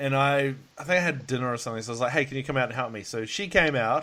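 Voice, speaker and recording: With an Australian accent, a man speaks very fast in a bright, sharp tone. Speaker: podcast host. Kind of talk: casual chat. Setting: Skype call.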